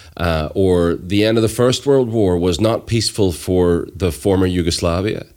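This man's pitch is very deep and low, with ordinary pitch variation. He keeps a moderate pace and very even loudness. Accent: Northern Irish. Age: 40s. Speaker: storyteller and violence reduction activist. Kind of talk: casual chat.

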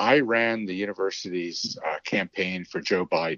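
A man speaks in a very deep, low voice with ordinary pitch variation. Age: 60s. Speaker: race director. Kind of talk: casual interview chat.

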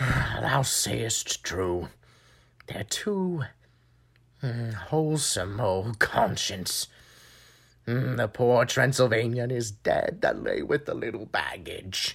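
The very clean recording, with a silent background, carries speech at a very slow pace with long, frequent pauses. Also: man, medium pitch for a man. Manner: grumbling, mercenary.

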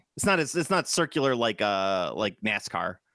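Fairly quick speech from a man with a Chicago accent, medium in pitch, the sound dry and close with no echo. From US Midwest. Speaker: podcast host. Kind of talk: casual chat. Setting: video call. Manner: animated.

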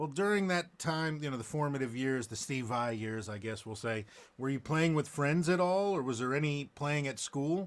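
This man has an ordinary speaking voice, fairly high in pitch, with lively intonation at a moderate pace. The recording is very clean, with a silent background. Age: 40s. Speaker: guitarist and podcast host. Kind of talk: casual chat. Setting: studio.

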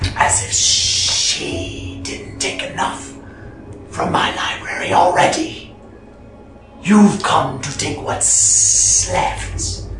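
A man uses a put-on character voice at a very slow pace, with slight echo and clear background noise. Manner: bitter, resentful.

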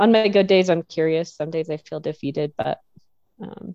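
A woman's fairly low, dark, mellow voice in an American accent, at a moderate pace with ordinary pitch variation, dry and close with no echo. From Nebraska, US Midwest. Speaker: forest ranger, wilderness and trails specialist. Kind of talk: casual interview.

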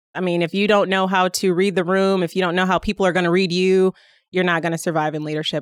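At a very fast pace, a woman with a Midwestern American accent speaks in a fairly low pitch with monotone, flat intonation. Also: very clean recording, silent background. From Indiana, South Bend. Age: 40s. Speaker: state government official. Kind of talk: interview.

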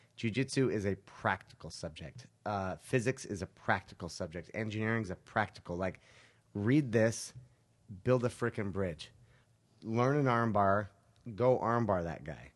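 An unremarkable speaking voice from a man with an American accent, fairly low pitch, ordinary pitch variation, and a moderate pace over a quiet background. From Utah. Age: 30s. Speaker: jiu-jitsu instructor. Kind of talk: casual chat. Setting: studio.

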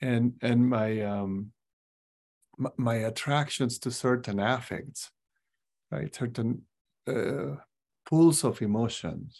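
Speech comes at a very slow pace, broken by long, frequent pauses. The recording is very clean, and the background is silent. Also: man, medium pitch for a man, ordinary pitch variation. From Peru (Cusco). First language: Spanish. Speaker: psychologist. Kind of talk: interview conversation.

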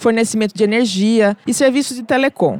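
A woman at a moderate pace with ordinary pitch variation, music in the background, and a dry, close sound with no echo. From Brazil, outside São Paulo. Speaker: podcast host, journalist and cook. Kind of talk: scripted narration; casual chat. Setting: studio.

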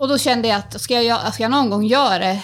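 The recording is very clean, and the background is silent. A woman races along at a very fast pace, her pitch varying in an ordinary way. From Sweden, Timrå near Sundsvall. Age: 30s. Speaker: beauty salon owner and local politician. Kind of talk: interview.

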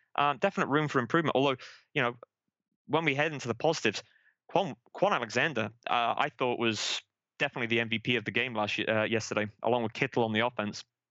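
In an American accent, a man speaks at a very fast pace with a medium pitch and ordinary pitch variation. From England, Manchester. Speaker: football fan, season ticket holder. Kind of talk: casual chat.

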